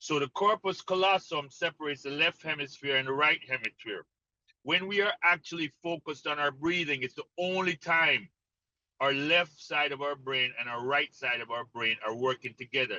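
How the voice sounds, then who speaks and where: In a Jamaican accent, the voice has a bright, sharp tone, recorded with a dry, close sound and no echo. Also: man, fairly high pitch for a man, ordinary pitch variation, moderate pace. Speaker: mental conditioning coach. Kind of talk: interview explanation.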